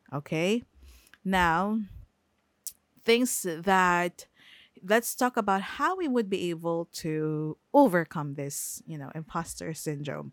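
Lively intonation and a Filipino accent mark this very slow delivery, broken by long, frequent pauses. The recording is very clean with a silent background and a dry, close sound without echo. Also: woman, fairly low pitch for a woman. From Philippines. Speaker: podcast host. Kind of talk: casual solo podcast talk. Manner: hesitant, many fillers.

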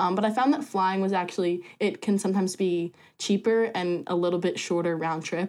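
A woman with an American accent in a plain, everyday voice, medium-pitched with ordinary pitch variation at a fairly quick pace, on a very clean recording with a silent background. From US Northeast, rural New Jersey. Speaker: student orientation leader. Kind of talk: casual chat.

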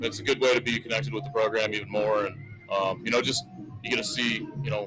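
Music plays in the background as a man talks with an American accent. His pace is fairly quick. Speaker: local sports broadcaster. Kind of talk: casual interview. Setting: broadcast booth at football game.

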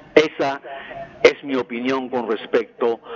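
A man speaking at a fairly slow pace amid noticeable background noise. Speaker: caller. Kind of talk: call-in opinion.

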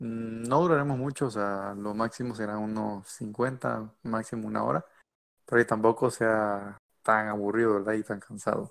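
On a very clean recording with a silent background, a man with an ordinary speaking voice talks at a fairly slow pace and fairly low pitch with ordinary pitch variation. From Mexico. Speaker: podcast host, engineering student. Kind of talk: casual chat.

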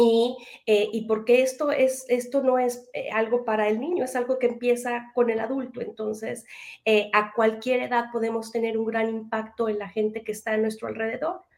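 With a Mexican accent, a woman speaks at a fairly high pitch and moderate pace in a monotone, flat intonation. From Mexico. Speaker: educator and parenting trainer. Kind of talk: interview.

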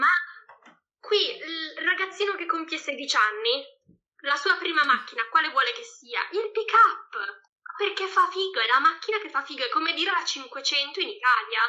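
A woman's raised, projected voice sits at an extremely high pitch and makes very wide pitch swings. Long, frequent pauses break up her speech. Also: moderate pace. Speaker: Italian expat. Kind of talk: casual chat. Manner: halting, searching for words.

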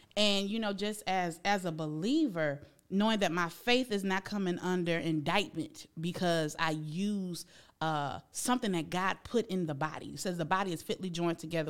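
Speaking at a fairly quick pace, a woman sounds animated, her fairly low pitch showing ordinary variation. The recording is very clean, with a silent background. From Buchanan, Michigan, US Midwest. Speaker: psychologist / therapist. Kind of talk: casual interview.

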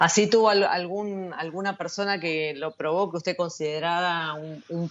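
A woman is speaking. She has an Argentine accent. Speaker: radio host. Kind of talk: interview.

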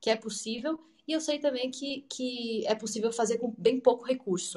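A woman uses a normal speaking voice, keeping a moderate pace and ordinary pitch variation. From Brazil. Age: 30s. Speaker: English teacher. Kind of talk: online talk / presentation.

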